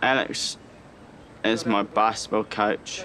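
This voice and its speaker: Speaking at a very slow pace, a man has a fairly low pitch. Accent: New Zealand. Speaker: Special Olympics athlete and father. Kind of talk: documentary interview.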